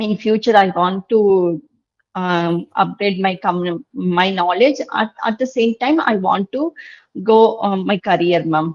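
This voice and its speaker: With a Tamil Nadu accent, a woman speaks at a fairly slow pace in a medium pitch with ordinary variation, the sound dry and close with no echo. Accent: Tamil Indian English. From India, Tamil Nadu. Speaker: English learner. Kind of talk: online tutoring session. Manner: halting.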